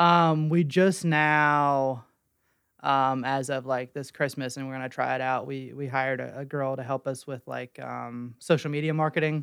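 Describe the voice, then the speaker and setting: The recording is very clean and the background silent. In it, a man keeps a moderate pace. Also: medium pitch for a man. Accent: American. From West Virginia (Weston). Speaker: small business owner, designer. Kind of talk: casual chat. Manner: halting, many fillers.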